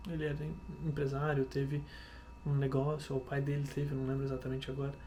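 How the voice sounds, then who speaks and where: A soft-spoken man talks at a fairly quick pace with a fairly high pitch. Audible room echo surrounds his voice. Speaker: vlogger. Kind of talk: casual vlog monologue. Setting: home kitchen at night. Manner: halting.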